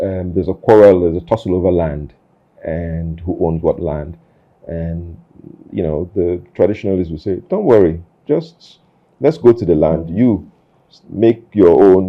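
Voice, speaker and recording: A man speaks at a moderate pace in a very deep, low voice with ordinary pitch variation. His loudness swings widely. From Nigeria, army barracks across the country. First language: Nigerian Pidgin. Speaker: interview show host. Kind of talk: casual interview conversation. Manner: halting, many fillers and repeats.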